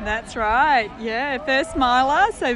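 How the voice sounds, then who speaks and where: Noticeable background noise sits behind a woman speaking at a fairly slow pace. Her pitch variation is ordinary. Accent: Australian. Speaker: ultramarathon runner. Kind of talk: interview. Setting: outdoors.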